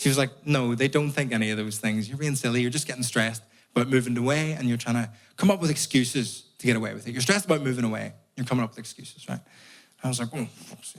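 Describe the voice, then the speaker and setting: A man with a Northern Irish accent speaks at a very fast pace and medium pitch. His pitch varies in an ordinary way, and his loudness swings widely. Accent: Northern Irish (Belfast). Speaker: comedian. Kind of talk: stand-up.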